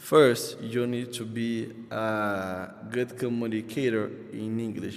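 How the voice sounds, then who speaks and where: Noticeable noise sits in the background, and the room echo is audible. The speaker has a Brazilian Portuguese accent. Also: man. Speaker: English learner vlogger. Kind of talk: casual vlog monologue. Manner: halting, many fillers and restarts.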